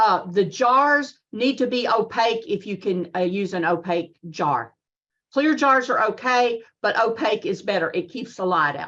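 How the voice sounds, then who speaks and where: Here is a woman with a Southern US accent. Her pitch is fairly high and her pace is moderate. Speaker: extension agent giving a lecture. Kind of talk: lecture with Q&A.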